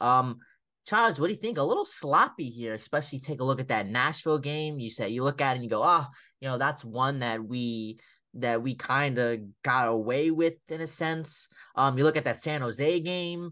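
Here a man speaks at a fairly high pitch with a bright, sharp tone and ordinary pitch variation. His pace is moderate, and the background is quiet. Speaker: hockey podcast co-host. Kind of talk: casual sports chat. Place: home room.

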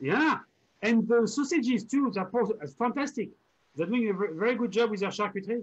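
A man with a French accent, high in pitch, at a moderate pace with ordinary pitch variation and long, frequent pauses. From France, Normandy. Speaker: online show host. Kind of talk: casual chat. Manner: animated.

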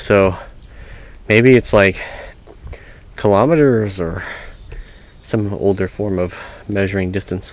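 With long, frequent pauses, a man talks at a fairly slow pace and fairly low pitch, using ordinary pitch variation, in a dry sound with no echo. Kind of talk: casual vlog chat. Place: forest. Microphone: phone near.

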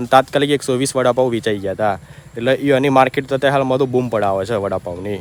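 Noticeable background noise runs behind a man whose medium pitch varies in an ordinary way. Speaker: vlogger. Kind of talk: casual vlog narration.

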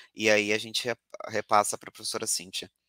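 A man with a bright, sharp tone talks at a moderate pace. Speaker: doctoral student, event moderator. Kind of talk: webinar moderation.

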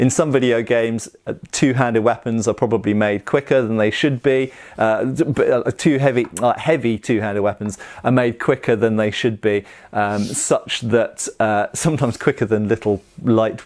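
A man talks at a moderate tempo and with fairly even intonation, the background quiet. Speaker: historical fencing instructor. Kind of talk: casual explanatory commentary. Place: home room.

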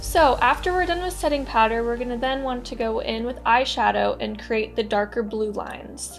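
A woman speaks with faint music in the background. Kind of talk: tutorial. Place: home room.

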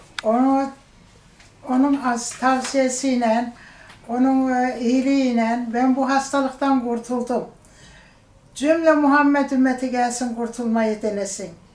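A woman with a high pitch speaks at a very slow pace and with fairly even intonation amid noticeable background noise. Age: 70s. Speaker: diabetes surgery patient. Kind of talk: patient testimonial.

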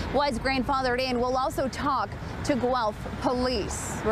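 A woman's high-pitched voice at a moderate pace, dry with no echo, over noticeable background noise. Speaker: news reporter. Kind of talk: news report. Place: street. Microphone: lapel.

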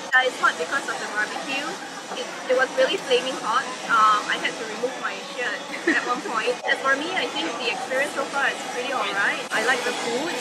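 A woman talks at a moderate pace. Loud background noise runs beneath her. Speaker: restaurant reviewer. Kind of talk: casual review chat. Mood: relaxed, jokey. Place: bar. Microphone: camera far.

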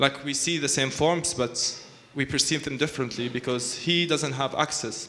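Over light background noise, a man with an Arabic accent talks at a fairly high pitch with fairly even intonation. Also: moderate pace. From Palestine. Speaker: architect; panel artist. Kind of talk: panel talk. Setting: stage with audience. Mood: earnest, argumentative. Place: hall. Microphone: handheld.

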